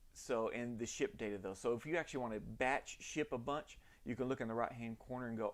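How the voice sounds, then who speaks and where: A man is speaking. He talks in a Southern US accent. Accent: Southern US, self-described janky. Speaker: orthodontic lab owner. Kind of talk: live stream tutorial. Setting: live stream in home lab. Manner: casual, halting with many fillers.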